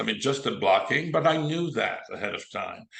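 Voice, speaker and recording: A man speaks in a Quebec accent with a bright, sharp tone. Room echo is audible. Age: 70s. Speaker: film director and actor. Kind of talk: interview.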